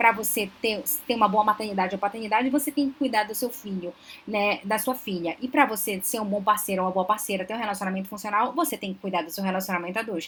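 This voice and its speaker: Talking at a very fast pace, a woman with a fairly high pitch uses ordinary pitch variation. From Belém do Pará, northern Brazil. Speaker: psychologist, relationship advisor. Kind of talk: live stream Q&A talk. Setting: live stream.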